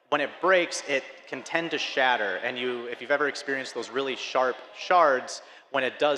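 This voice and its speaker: A man with an Upper Midwest accent, medium-pitched with ordinary pitch variation, fairly quick in pace, over noticeable background noise. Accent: Upper Midwest (Fargo). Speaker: filament company representative. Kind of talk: conference presentation.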